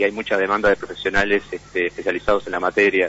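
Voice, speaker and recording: A man with a fairly low pitch speaks while noticeable background noise plays underneath. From Uruguay, Montevideo. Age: 40s. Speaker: imprisoned computer engineer, hacker. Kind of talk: interview. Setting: phone call.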